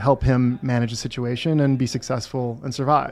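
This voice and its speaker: The background is quiet. A man speaks in a medium pitch with a dark, mellow tone. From Wisconsin, US Midwest. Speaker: entrepreneur, survival gear company founder. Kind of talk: casual chat.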